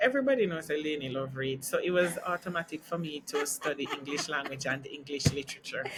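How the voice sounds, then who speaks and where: Speaking fairly quickly with a Jamaican accent, a woman uses lively intonation. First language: Jamaican Creole. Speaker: teacher. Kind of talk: interview.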